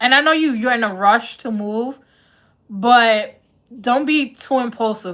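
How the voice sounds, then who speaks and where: On a very clean recording with a silent background, a woman with a New York accent speaks at a fairly high pitch in a bright, sharp tone, at a fairly slow pace with lively intonation. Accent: Bronx New York. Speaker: tarot reader. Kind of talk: live-stream tarot reading, casual chat. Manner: casual, conversational.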